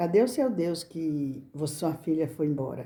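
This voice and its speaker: Somewhat breathy, a woman speaks at a fairly low pitch with a dark, mellow tone. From Brazil, rural countryside. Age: 60s. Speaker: crafts channel owner. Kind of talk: casual personal talk to camera. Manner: halting, repetitive.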